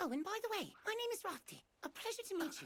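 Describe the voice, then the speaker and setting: This is a put-on character voice, squeaky and extremely high in pitch. It races along at a very fast pace. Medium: fan dub. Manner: friendly, chatty.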